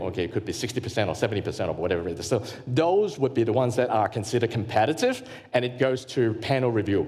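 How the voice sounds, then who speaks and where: A man at a medium pitch talks with lively intonation in an Australian accent. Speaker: grant consultant and workshop presenter. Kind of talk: workshop presentation. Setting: live workshop with audience. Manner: fast; halting with many fillers and repetitions.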